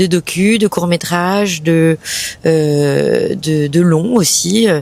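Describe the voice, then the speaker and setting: Fairly low pitch from a woman, ordinary pitch variation, and noticeable background noise throughout. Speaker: actress and comedian. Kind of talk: interview answer.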